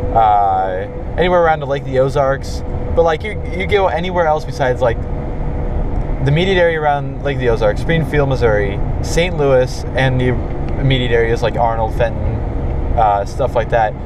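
A man at a moderate pace, dry sound with no echo, noticeable background noise. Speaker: driver vlogger. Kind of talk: casual vlog chat. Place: car. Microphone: phone near.

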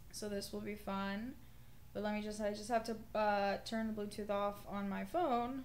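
A woman speaks at a moderate pace. Noticeable background noise runs behind her. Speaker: streamer. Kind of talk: casual livestream chat. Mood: playful joking. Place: home room.

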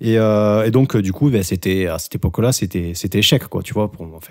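A man is speaking at a moderate pace. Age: 30s. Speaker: podcast co-host. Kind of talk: casual chat.

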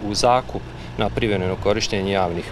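The sound is dry with no echo, with noticeable background noise. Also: man. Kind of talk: interview answer. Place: street. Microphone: handheld.

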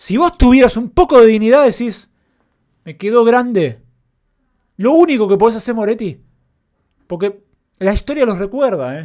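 A man with an extremely high pitch talks at a moderate pace, using lively intonation and long, frequent pauses. His loudness swings widely against a quiet background. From Argentina. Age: 30s. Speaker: football fan commentator. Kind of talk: post-match reaction rant. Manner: impassioned, emphatic. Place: home room. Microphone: studio mic.

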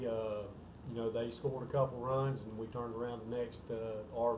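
At a moderate pace and with fairly even intonation, a man speaks through noticeable background noise. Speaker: baseball head coach. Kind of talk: interview answer. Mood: calm, pleased after win. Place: office. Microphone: phone near.

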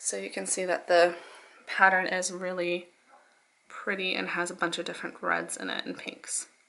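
Soft-spoken, a woman is talking. Her pace is moderate. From Canada. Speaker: fashion vlogger. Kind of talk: casual haul and try-on video. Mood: upbeat, enthusiastic. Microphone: phone near.

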